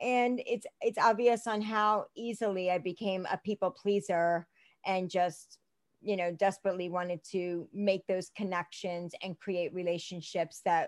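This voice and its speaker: A woman with an American accent speaks in a plain, everyday voice at medium pitch and a fairly slow pace. The very clean recording has a dry, close sound with no echo and a silent background. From US Northeast, Philadelphia (Northeast Philadelphia), Indian family. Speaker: realtor and life coach. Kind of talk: casual chat.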